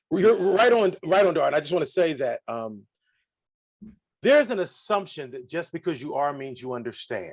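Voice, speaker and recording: This man's voice swings very widely in pitch. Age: 60s. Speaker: diversity educator and reverend. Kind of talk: interview. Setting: livestream video call. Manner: animated.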